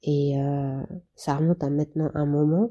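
A woman with a dark, mellow tone and a very deep, low pitch speaks at a fairly slow pace with fairly even intonation. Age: 30s. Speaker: patient sharing her therapy experience. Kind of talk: testimony. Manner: halting.

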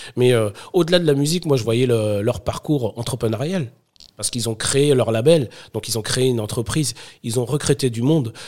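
It is a plain, everyday voice with ordinary pitch variation. The pace is fairly quick. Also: man, medium pitch for a man. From Paris suburbs (Sarcelles), France. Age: 30s. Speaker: startup founder. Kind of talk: casual interview.

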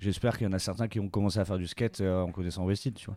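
Very deep and low in pitch, a man's voice with a dark, mellow tone and ordinary pitch variation comes through on a very clean recording with a silent background. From Bordeaux, southwest France. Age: 30s. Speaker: clothing brand co-founder. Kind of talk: interview. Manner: hesitant, many fillers.

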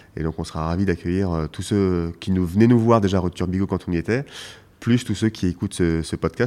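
A man's very deep, low voice has a dark, mellow tone and moves at a very fast pace. The recording is very clean, with a silent background. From Paris, France. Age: 40s. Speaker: winemaker. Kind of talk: interview. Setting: wine shop. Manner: halting.

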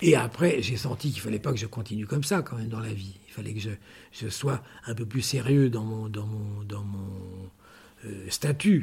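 At a moderate pace, a man speaks in a somewhat breathy voice with long, frequent pauses. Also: medium pitch for a man, ordinary pitch variation. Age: 70s. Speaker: metalwork craftsman for fashion houses. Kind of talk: interview storytelling. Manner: halting, many repetitions.

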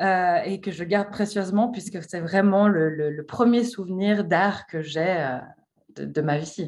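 A woman at a medium pitch, very slow in pace, with ordinary pitch variation. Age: 30s. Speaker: art historian and association founder. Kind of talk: interview. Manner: hesitant, many fillers.

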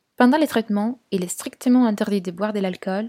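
A woman with an Italian accent and a medium pitch speaks at a moderate pace in a dark, mellow, somewhat breathy tone with ordinary pitch variation, in a very clean recording with a silent background and a dry, close sound with no echo. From Italy, Turin. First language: Italian (speaking French). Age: 20s. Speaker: podcast guest sharing personal experience. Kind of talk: personal testimony.

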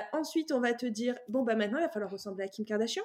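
The woman's voice shows ordinary pitch variation. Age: 30s. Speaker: bank employee on sabbatical, image consultant. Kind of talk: casual chat. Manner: hesitant.

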